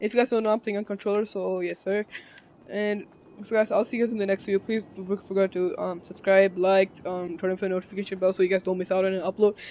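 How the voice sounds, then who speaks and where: A man with a high voice talks at a very fast pace in a flat monotone. Noticeable background noise is present. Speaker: gaming youtuber. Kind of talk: gameplay commentary. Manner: halting.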